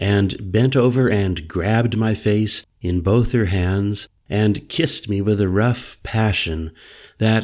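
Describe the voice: Simply plain reading aloud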